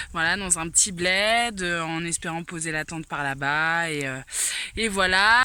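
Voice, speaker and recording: There is noticeable background noise. A woman speaks at a medium pitch. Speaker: hiker vlogger. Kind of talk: vlog. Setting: outdoors. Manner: hesitant.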